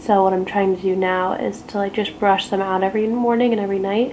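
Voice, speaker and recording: With noticeable background noise behind her, a woman speaks at a very fast pace. Her medium pitch carries ordinary pitch variation. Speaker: beauty and lifestyle blogger. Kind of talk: casual chat while doing makeup. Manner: relaxed, filler-heavy with lots of 'like'; soft, near whispering at times.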